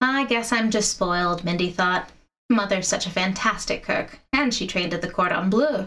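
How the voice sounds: Quiet background behind a natural reading voice, ordinary pitch variation throughout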